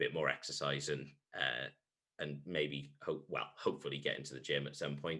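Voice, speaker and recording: A man with a Welsh accent at a moderate pace. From Wales. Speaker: sports podcast host, primary school teacher. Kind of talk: casual chat. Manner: hesitant, many fillers.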